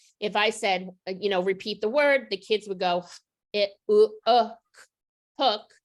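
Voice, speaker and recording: This woman has an unremarkable speaking voice, pitched fairly high. She talks fairly slowly with fairly even intonation. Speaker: literacy educator. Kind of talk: professional development presentation.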